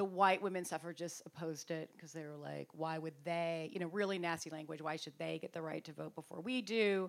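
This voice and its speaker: In a plain, everyday voice, the speaker goes at a fairly quick pace with hardly any pauses, fairly even intonation and big swings in loudness. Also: woman, fairly low pitch for a woman. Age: 50s. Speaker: author. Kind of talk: book talk interview.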